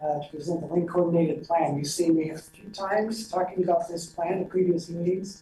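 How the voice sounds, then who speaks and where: Background noise is noticeable throughout. The pace is moderate. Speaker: regional planner. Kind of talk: presentation. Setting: committee meeting. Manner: soft-spoken.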